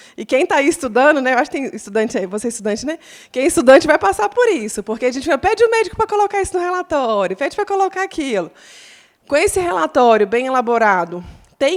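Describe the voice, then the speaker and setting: Very fast and animated, a woman speaks. Her pitch swings very widely. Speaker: lawyer speaking on patient rights. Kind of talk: talk at patient association event.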